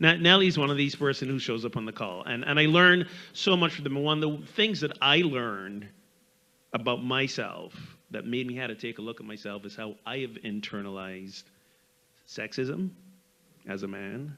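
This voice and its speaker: With a slight Barbadian accent, a man speaks at medium pitch and a moderate pace, his tone bright and sharp. His pitch swings very widely, his loudness shifts a lot, and he takes long, frequent pauses. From Barbados. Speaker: minister, panelist. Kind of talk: panel discussion.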